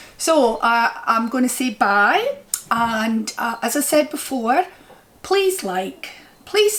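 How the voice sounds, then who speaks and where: Speaking very slowly in a strong Scottish accent, a woman uses a high pitch and lively intonation over noticeable background noise. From Scotland. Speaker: crochet vlogger. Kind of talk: casual chat.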